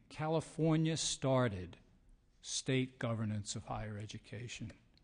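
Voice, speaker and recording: Over a quiet background, a man with a New York accent talks fairly slowly at medium pitch with lively intonation. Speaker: higher education policy expert. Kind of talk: testimony.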